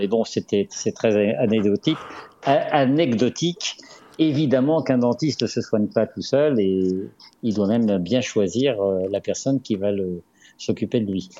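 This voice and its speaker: A man with a dark, mellow tone and ordinary pitch variation talks at a fairly slow pace, leaving long, frequent pauses. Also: medium pitch for a man. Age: 60s. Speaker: dentist and author. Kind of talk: radio interview. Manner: measured, formal.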